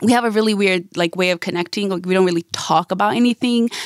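A woman with a Bosnian accent talks at a very fast pace, medium in pitch with ordinary variation. The sound is dry and close, with no echo. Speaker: radio DJ. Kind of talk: casual personal conversation.

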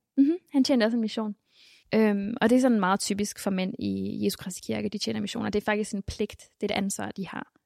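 A woman at a fairly quick pace, in a very clean recording with a silent background and a dry, close sound with no echo. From Denmark, Mexican family background. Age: 20s. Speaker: church member and convert. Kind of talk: interview testimony. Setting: church building.

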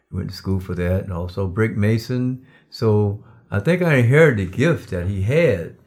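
A man's fairly low voice at a moderate pace, lively in intonation, on a very clean recording with a silent background. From US South, Darlington, South Carolina. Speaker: preacher and father of host. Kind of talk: casual interview.

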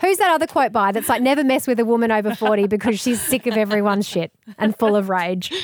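Talking at a very fast pace, a woman has a fairly high pitch and ordinary pitch variation. She speaks with an Australian accent. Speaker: radio presenter and author. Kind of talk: casual interview chat.

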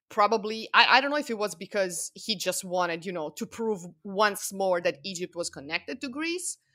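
In a very clean recording with a silent background and a dry, close sound with no echo, a woman speaks in a bright, sharp tone with lively intonation at a moderate pace. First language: non-English. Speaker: Egyptology researcher. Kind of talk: casual chat. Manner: halting.

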